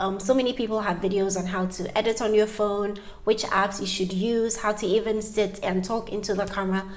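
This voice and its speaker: Against audible room echo, a woman with a medium pitch speaks at a fairly quick pace with fairly even intonation. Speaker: YouTuber. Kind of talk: tutorial. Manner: fast.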